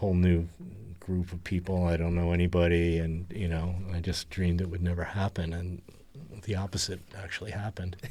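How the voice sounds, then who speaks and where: A man speaks fairly quickly in a very deep, low pitch with a dark, mellow tone. His intonation is monotone and flat. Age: 70s. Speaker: retired musician in rock band. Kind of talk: casual interview chat.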